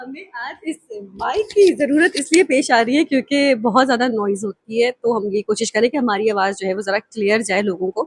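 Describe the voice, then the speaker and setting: A woman with a normal speaking voice and fairly high pitch uses lively intonation, recorded with a dry, close sound and no echo. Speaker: voice actor. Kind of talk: casual interview host talk.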